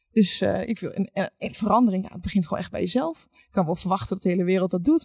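Speaking at a very fast pace, a woman has a dark, mellow, somewhat breathy voice at a medium pitch with ordinary pitch variation. The sound is dry and close, with no echo. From Netherlands, rural village. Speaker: recruitment account manager. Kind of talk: panel discussion.

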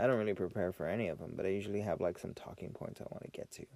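Talking at a very fast pace, a man with a fairly low pitch has a dark, mellow tone. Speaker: podcast host, military veteran. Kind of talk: casual solo monologue. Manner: unscripted, rambling venting.

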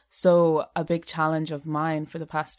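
A woman's very deep, low, monotone voice at a moderate pace, flat in intonation, on a very clean recording with a silent background. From Zimbabwe. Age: 20s. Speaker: poet and songwriter. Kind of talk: poetry reading.

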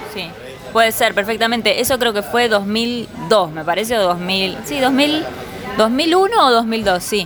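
Crowd noise fills the background as a woman with a fairly high pitch speaks at a fairly slow pace with lively intonation, and audible room echo can be heard. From Buenos Aires, Argentina. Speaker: visual artist. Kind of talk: interview. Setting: bar.

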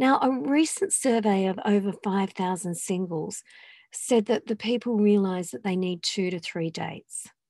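The pitch rises and falls in an ordinary way. This woman's tone is dark and mellow. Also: medium pitch for a woman, moderate pace, very clean recording, silent background. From England. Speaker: dating coach and podcast host. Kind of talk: solo podcast monologue. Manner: conversational.

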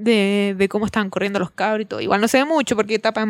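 A woman's medium-pitched voice in a Chilean accent at a very fast pace, with a dry, close sound with no echo, on a very clean recording with a silent background. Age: 20s. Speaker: podcast co-host. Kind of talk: casual chat.

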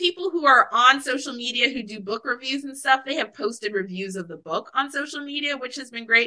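Speaking at a moderate pace in an American accent, a woman uses a raised, projected voice with a high pitch. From Alaska, US. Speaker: author. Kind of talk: interview.

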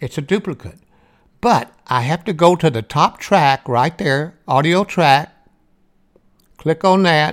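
A fairly slow pace in a Southern US accent, in a very clean recording with a silent background. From US South. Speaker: audiobook narrator and author. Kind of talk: tutorial. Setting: screen-share demonstration recording. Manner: casual, instructional.

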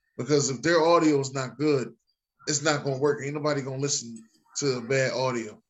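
At a fairly quick pace, a man with a fairly high pitch and an ordinary speaking voice talks with fairly even intonation. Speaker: podcast host. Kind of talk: casual chat.

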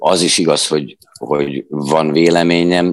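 Very slow speech from a man, pitch varying in an ordinary way. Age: 40s. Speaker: stage actor and theatre director. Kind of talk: interview. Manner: halting.

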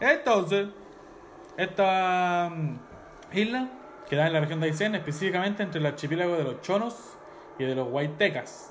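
A speaker with a Chilean accent talks at a moderate pace with lively intonation, leaving long, frequent pauses, and audible room echo surrounds the voice. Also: man, high pitch for a man. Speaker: podcast host. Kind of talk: casual chat.

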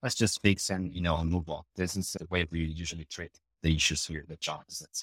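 This man talks at a fairly quick pace in a Brazilian accent, his pitch very deep and low with fairly even intonation. The recording is very clean with a silent background, and the sound is dry and close with no echo. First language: Portuguese. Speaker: EPM consulting director. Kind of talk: casual interview.

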